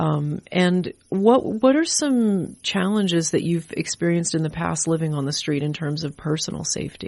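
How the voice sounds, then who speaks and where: A woman with an American accent has a plain, everyday voice at a fairly low pitch. She keeps a moderate pace with hardly any pauses against a quiet background. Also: ordinary pitch variation. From rural North Carolina. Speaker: radio host. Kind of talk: radio interview. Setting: radio studio.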